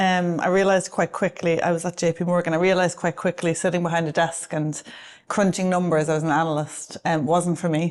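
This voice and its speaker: With an Irish accent, a woman talks at a fairly quick pace in a fairly low pitch, her intonation monotone and flat and her loudness very even, over a quiet background. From Ireland. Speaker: advertising agency executive. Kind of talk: interview. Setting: office with a view.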